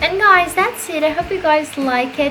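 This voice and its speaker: A woman at a moderate pace with ordinary pitch variation, audible room echo and music in the background. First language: Portuguese. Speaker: gaming YouTuber. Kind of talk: casual voice-over commentary. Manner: halting, self-correcting.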